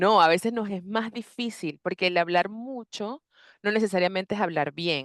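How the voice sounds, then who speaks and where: This is a woman speaking at medium pitch. Her pitch varies in an ordinary way. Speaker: psychologist and coach. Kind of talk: interview conversation. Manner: fast; talkative, animated.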